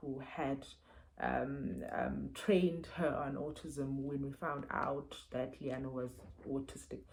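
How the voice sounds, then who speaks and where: This woman's voice is very deep and low, with vocal fry. Her intonation is fairly even. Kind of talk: book review vlog. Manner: halting, many fillers and repeats.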